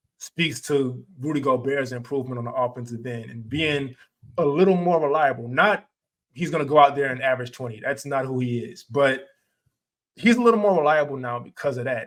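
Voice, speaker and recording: A man with a plain, everyday voice speaks at a fairly high pitch and a fairly quick pace, with ordinary pitch variation and big swings in loudness. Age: 30s. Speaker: basketball podcast host. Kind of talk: casual chat.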